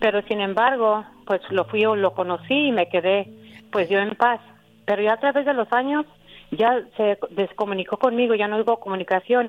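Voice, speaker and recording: A woman with a normal speaking voice talks at a moderate pace and fairly high pitch, with ordinary pitch variation and very even loudness. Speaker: caller. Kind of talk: personal testimony.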